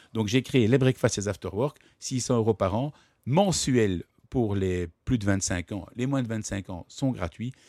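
Very slowly, a man speaks at medium pitch with a dark, mellow tone and ordinary pitch variation, in a dry, close sound with no echo on a very clean recording with a silent background. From Brussels, Belgium. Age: 40s. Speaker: entrepreneur and publisher. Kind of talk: interview. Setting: studio.

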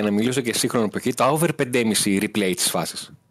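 A man speaks in an ordinary speaking voice at a moderate pace with ordinary pitch variation. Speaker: football reporter. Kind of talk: sports report by phone.

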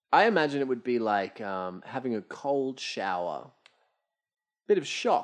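A man at a medium pitch with very wide pitch swings, a fairly slow pace and long, frequent pauses, against a quiet background. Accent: Australian. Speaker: podcast co-host. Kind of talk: casual chat. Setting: at a table, recording with drinks.

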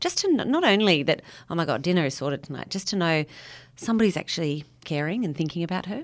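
With an Australian accent, a woman talks at a very fast pace with lively intonation. The recording is very clean, with a silent background. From Sydney. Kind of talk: casual interview chat.

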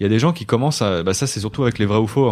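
A man speaks at a fairly low pitch. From Brittany, Côtes-d'Armor. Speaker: YouTuber. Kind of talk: casual chat. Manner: halting.

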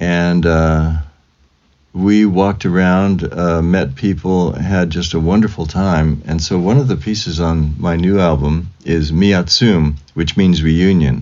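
Speaking very slowly with a Californian accent, a man uses a very deep, low pitch and ordinary pitch variation. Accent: Californian American. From US West Coast (Fresno, California). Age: 70s. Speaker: composer. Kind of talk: interview.

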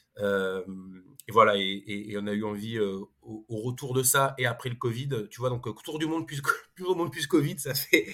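A man of medium pitch talks at a moderate pace in a bright, sharp tone, with lively intonation and big swings in loudness. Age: 40s. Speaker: consultancy co-founder and economist. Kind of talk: interview. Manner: halting, many repetitions and fillers.

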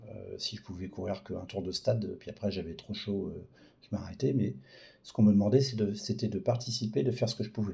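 This man talks at a fairly quick pace with a fairly low pitch and ordinary pitch variation. His tone is dark and mellow, somewhat breathy. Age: 40s. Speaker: patient with a rare disease. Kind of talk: testimony. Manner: halting.

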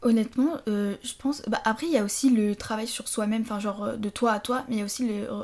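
A woman with an unremarkable speaking voice talks at a fairly quick pace with hardly any pauses. Her pitch is fairly high and her intonation fairly even. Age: 20s. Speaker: former business-school prep student. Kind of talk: casual chat.

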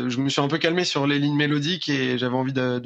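This man's fairly high voice moves at a moderate pace. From France. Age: 20s. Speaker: rock musician. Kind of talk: interview. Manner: halting, many repetitions.

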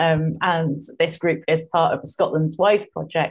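Against a quiet background, a woman talks in a fairly low, somewhat breathy voice with monotone, flat intonation. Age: 40s. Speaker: market gardener. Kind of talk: casual chat. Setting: video call.

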